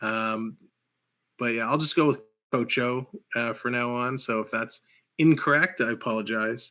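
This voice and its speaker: A man with a Canadian accent and a bright, sharp tone, medium pitch, ordinary pitch variation, a moderate pace and long, frequent pauses, in a very clean recording with a silent background. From Canada. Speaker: hockey livestream host. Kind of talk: live play-by-play commentary. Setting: livestream.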